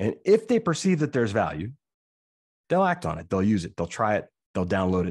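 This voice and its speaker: Speaking at a very fast pace, a man moves through very wide pitch swings. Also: quiet background. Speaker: speaker. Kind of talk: lecture. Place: home room.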